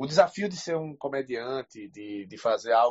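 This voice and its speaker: A man speaks with a northeastern Brazilian accent. His pitch is medium, with ordinary variation. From Brazil, Recife. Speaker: audience member asking question. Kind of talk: casual chat. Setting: online audio room.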